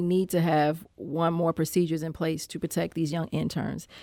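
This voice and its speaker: A woman with a plain, everyday voice speaks in an American accent with fairly even intonation on a very clean recording with a silent background. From Saint Louis, Missouri. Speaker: state legislator. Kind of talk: interview about politics. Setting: studio.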